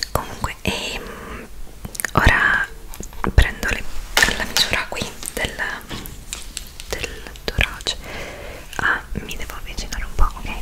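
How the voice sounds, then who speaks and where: A woman's whisper at a fairly slow pace, with long, frequent pauses and big swings in loudness. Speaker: ASMR roleplay host. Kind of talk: ASMR roleplay. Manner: whispered, soft-spoken. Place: home room. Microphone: studio mic.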